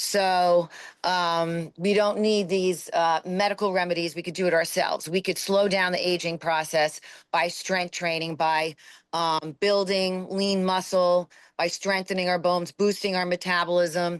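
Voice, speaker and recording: A woman talks at a fairly slow pace and a fairly low pitch, in a monotone with flat intonation. The background is quiet. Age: 50s. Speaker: fitness coach. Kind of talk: interview conversation. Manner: halting, many fillers.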